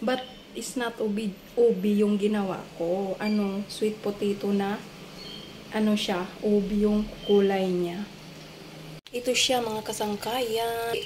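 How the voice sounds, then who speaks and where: A soft-spoken woman with a fairly high pitch talks very slowly and monotonously, with long, frequent pauses, audible room echo and noticeable background noise. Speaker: domestic helper vlogger. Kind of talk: casual cooking vlog. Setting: employer's home in Singapore.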